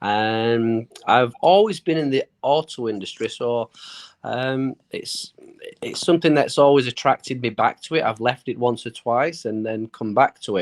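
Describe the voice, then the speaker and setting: A man with a British accent, medium pitch and a fairly slow pace. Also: ordinary pitch variation, dry, close sound with no echo. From United Kingdom. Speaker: small business owner. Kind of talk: interview. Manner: halting.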